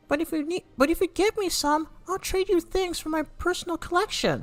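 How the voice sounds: Over music in the background, a put-on character voice sounds strained and guttural, pitched extremely high and moving at a moderate pace.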